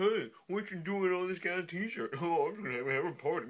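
A man speaks in a put-on character voice, pitched high. His pace is moderate. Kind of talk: casual vlog chat. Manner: silly, casual.

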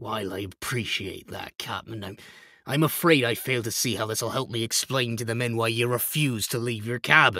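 Using a put-on character voice, a raspy man speaks at a moderate pace and medium pitch with ordinary pitch variation. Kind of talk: gothic horror audio drama. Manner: respectful, cautious, worried.

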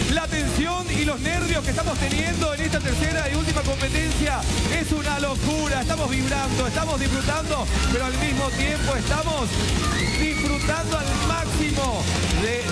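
Loud music plays in the background while the speech keeps a moderate pace. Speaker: TV game show commentator. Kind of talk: sports-style live commentary. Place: studio.

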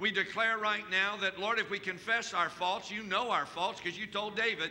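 A man speaks in a raised, projected voice at a moderate pace. Light background noise can be heard. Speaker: preacher. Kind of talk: sermon. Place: church. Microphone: headset.

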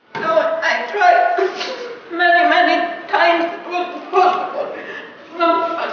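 Intonation stays fairly even, with strong room echo and light background noise. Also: woman. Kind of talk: acted drama dialogue.

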